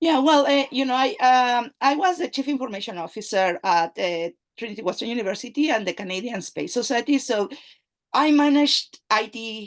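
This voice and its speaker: A woman speaks with a Spanish accent at a fairly high pitch and a fairly quick pace. Her intonation is lively, and the background is quiet. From Mexico. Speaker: AI and data analytics expert, company CEO. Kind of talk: interview conversation. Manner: halting, many fillers.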